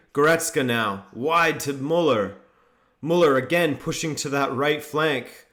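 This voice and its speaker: A man with a fairly high pitch and a bright, sharp tone speaks at a fairly slow pace. His pitch variation is ordinary, and audible room echo surrounds him. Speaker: football YouTuber hosting a watchalong. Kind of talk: live commentary with chat reading.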